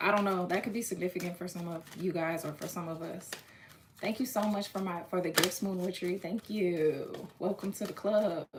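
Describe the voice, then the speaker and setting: Over noticeable background noise, a woman talks at a moderate pace with medium pitch and fairly even intonation. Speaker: tarot reader. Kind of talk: live-stream tarot reading. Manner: casual, halting with restarts.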